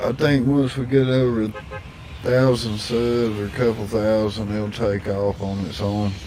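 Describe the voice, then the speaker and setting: A man speaks at medium pitch and a fairly slow pace. Audible room echo and noticeable background noise are present. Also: fairly even intonation. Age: 60s. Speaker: gaming streamer. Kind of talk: casual chat.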